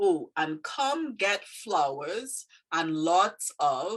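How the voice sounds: A woman with an American accent speaks in a bright, sharp tone at a fairly low pitch, her intonation lively.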